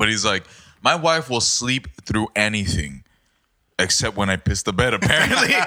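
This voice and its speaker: A booming man's voice sits fairly low in pitch. He keeps a moderate pace while his pitch swings very widely. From Mexico, Baja California. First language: Spanish. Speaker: podcast guest. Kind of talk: casual chat.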